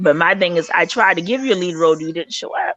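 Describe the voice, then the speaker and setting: With a Charleston accent, the speaker uses an animated tone at a fairly quick pace. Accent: Charleston Southern. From US South, Charleston, South Carolina. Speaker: film director. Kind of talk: casual chat.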